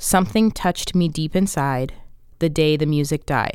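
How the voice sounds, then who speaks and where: A woman's normal speaking voice at a fairly low pitch, on a very clean recording with a silent background. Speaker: podcast host. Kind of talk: podcast discussion with clips.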